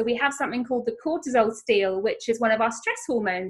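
The speaker is a woman. Her intonation is lively. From England, Norfolk. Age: 40s. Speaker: nutrition coach. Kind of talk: casual interview chat. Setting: video call.

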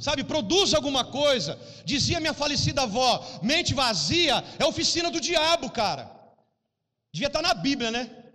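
A man speaks at a moderate pace in an extremely high, bright, sharp voice, raised and projected. His tone is animated and his intonation lively. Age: 40s. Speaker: pastor. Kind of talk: sermon.

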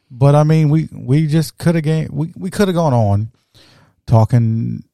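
In a dry, close recording with no echo, a man's dark, mellow voice moves through very wide pitch swings. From South Louisiana. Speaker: podcast host. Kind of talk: casual chat. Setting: home studio.

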